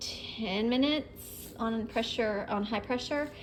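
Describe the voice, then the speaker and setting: A woman speaks with a fairly high pitch. Her pitch variation is ordinary. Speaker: cooking vlogger. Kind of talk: vlog narration while cooking. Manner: fast; casual, many fillers.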